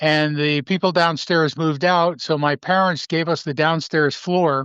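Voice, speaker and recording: A man with an American accent, fairly high-pitched, monotone and flat in intonation, very even in loudness, against a quiet background. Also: moderate pace. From Albany, New York, US. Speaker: retired radio DJ. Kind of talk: interview.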